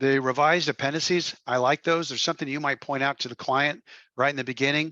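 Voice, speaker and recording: Against a quiet background, a man with a fairly high pitch and a bright, sharp tone speaks at a very fast pace in monotone, flat intonation, the sound dry and close with no echo. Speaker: trainer for financial coaches. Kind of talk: training session briefing. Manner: halting, many fillers.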